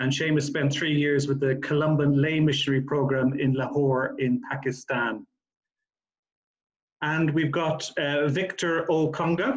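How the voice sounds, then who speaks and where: A man with an Irish accent speaks fairly slowly in a fairly high voice. His loudness stays very even and his intonation fairly even. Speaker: charity CEO chairing a panel. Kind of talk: panel moderation. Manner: halting, many fillers.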